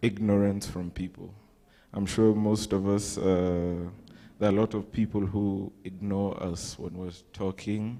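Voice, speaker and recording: A man's fairly low, dark, mellow voice in a flat monotone, on a very clean recording with a silent background. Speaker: youth group presenter. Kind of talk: group presentation in church. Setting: church.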